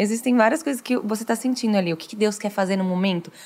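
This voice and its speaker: The voice belongs to a woman speaking at medium pitch. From Brazil, interior of São Paulo state (Franca). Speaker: worship singer. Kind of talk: casual chat.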